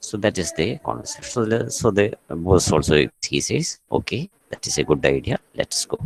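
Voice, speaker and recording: A soft-spoken man with a fairly low pitch talks at a moderate pace with hardly any pauses and very wide pitch swings, in a dry, close sound with no echo. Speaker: college English teacher. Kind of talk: online class lecture. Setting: online class from a staff room. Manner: soft-spoken, kept low; halting, many fillers.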